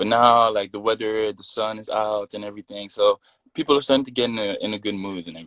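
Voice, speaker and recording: Talking very fast, a man uses a fairly low pitch and fairly even intonation. His sound is dry and close, with no echo. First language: French. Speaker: model and musician. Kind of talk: casual interview chat. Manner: repetitive, halting with fillers.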